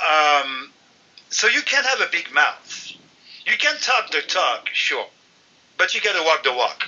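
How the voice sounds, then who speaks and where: A man with a French accent speaks at a fairly slow pace, his loudness very even, with long, frequent pauses. Noticeable background noise can be heard. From France. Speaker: football site contributor. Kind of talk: casual interview chat. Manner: animated.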